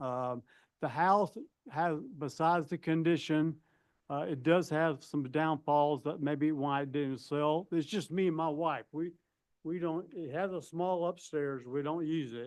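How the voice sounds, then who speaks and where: Against a quiet background, a man with a fairly high pitch speaks at a fairly slow pace and with fairly even intonation. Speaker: property owner appealing tax assessment. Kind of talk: testimony. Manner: loud.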